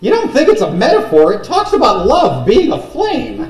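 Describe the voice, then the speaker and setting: A man puts on a character voice at an extremely high pitch. He talks at a moderate pace with a slight echo. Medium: actual play.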